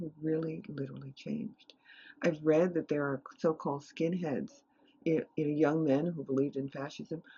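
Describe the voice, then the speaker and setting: A woman's very deep, low voice with an American accent at a moderate pace. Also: ordinary pitch variation. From New York City (Harlem). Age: 70s. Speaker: meditation teacher and retired professor. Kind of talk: interview.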